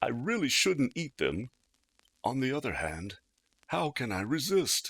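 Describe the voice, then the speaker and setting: A man's put-on character voice at medium pitch. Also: moderate pace. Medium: read story. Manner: theatrical, emotional.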